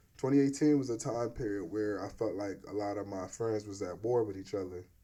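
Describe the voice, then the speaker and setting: Speaking at a fairly quick pace, a man with a fairly low pitch uses ordinary pitch variation and has a dark, mellow tone. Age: 30s. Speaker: podcast host and videographer. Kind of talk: casual interview chat.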